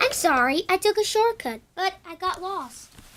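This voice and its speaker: A woman puts on a character voice, pitched extremely high. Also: moderate pace. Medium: read story.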